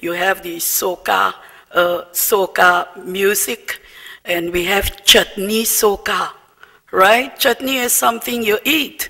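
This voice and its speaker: The speech moves at a very slow pace. Noticeable background noise runs under it. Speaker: diplomat. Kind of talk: formal dinner speech.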